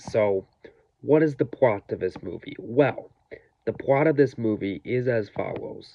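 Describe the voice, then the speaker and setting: At a fairly slow pace, a man speaks quietly at medium pitch with ordinary pitch variation. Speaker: movie reviewer. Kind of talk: video review.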